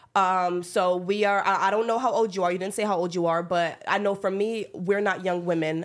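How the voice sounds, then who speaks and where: On a very clean recording with a silent background, a woman with an ordinary speaking voice and an American accent speaks at a moderate pace and medium pitch with fairly even intonation. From upstate New York. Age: 20s. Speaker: podcast host. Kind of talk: casual chat.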